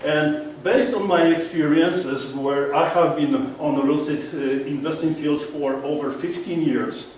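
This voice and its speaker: A man with a strong Polish accent talks at a fairly high pitch and moderate pace, his intonation fairly even. Noticeable background noise and audible room echo fill the recording. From Poland. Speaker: real estate investor and speaker. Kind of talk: seminar presentation. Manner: interactive, engaging audience.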